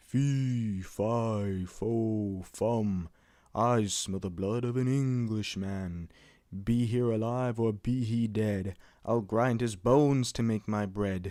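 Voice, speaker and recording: A man puts on a booming character voice at a medium pitch and a very slow pace. The recording is very clean with a silent background. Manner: booming, menacing.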